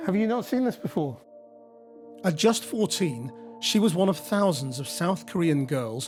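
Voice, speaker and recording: A man speaks at a moderate pace in a high voice with very wide pitch swings, music playing in the background. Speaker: television journalist. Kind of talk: documentary narration.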